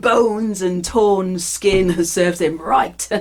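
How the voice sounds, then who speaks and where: Fairly slow speech from a woman amid noticeable background noise. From United Kingdom. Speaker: performance storyteller. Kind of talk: live storytelling performance of myth. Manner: dynamic, physical, expressive, sometimes funny.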